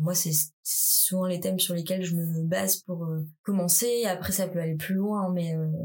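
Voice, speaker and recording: A woman with a fairly low pitch speaks in a monotone, flat intonation, with audible room echo. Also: fairly slow pace, very even loudness. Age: 20s. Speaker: contemporary dancer. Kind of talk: casual interview.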